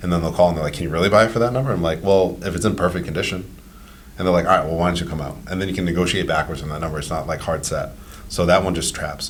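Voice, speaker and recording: Amid audible room echo, a man speaks at a very fast pace with a very deep, low pitch. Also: ordinary pitch variation. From Rhode Island, Cranston. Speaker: real estate investor and property manager. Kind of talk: podcast interview. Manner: casual, conversational.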